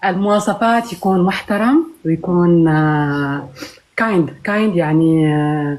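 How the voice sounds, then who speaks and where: A woman with a fairly low voice speaks very slowly. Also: ordinary pitch variation. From Morocco, Tafraout near Agadir. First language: Tashelhit (speaking Arabic). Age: 30s. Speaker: marriage seeker caller. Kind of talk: video call interview. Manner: halting, many hesitations.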